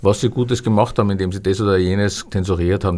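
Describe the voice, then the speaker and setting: A man speaks in a plain, everyday voice at fairly low pitch and a fairly quick pace on a very clean recording with a silent background. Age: 60s. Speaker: historian and publisher. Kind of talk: interview. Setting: studio.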